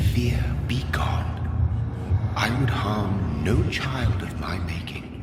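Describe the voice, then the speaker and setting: Whispering in a put-on character voice, a man speaks at a very slow pace. Loud background noise and clear echo surround him. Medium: machinima. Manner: cryptic, rhyming, solemn.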